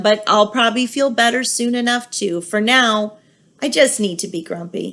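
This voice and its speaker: In a put-on character voice, a woman speaks raspily at a fairly high pitch and a moderate pace against a quiet background. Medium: read story. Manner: sulky, defensive.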